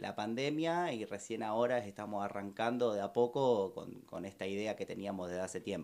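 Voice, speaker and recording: A man with a Rioplatense accent talks at a moderate pace. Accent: Argentine Spanish (rioplatense). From Argentina. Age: young. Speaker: restaurant owner. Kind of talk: interview. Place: studio. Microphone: studio mic.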